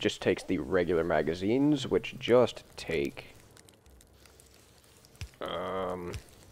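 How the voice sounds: The voice is gravelly with a slightly mellow tone, moving at a slow pace with lively intonation. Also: man, low pitch for a man.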